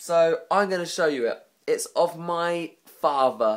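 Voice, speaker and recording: Speaking with an English accent, a man uses a high pitch. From England. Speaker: vlogger. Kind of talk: casual vlog monologue.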